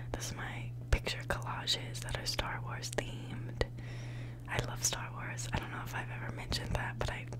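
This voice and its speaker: Through loud background noise, a soft-spoken woman whispers at a moderate pace. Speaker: college student living in a dorm. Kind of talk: ASMR dorm tour, casual talk to camera. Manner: whispered, soft, relaxing. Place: home room. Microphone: phone near.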